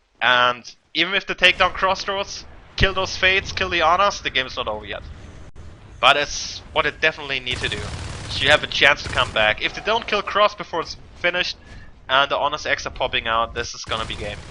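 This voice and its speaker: A man talks at a fairly quick pace in a fairly high voice. His intonation is lively, and background noise is noticeable. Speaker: esports caster. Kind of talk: live commentary. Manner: animated, yelling at exciting moments.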